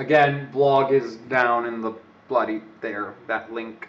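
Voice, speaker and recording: A man talks with a slight British accent. His intonation stays fairly even. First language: not English. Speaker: overclocking live streamer. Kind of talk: live stream chat with tutorial. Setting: live stream. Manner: casual, rambling.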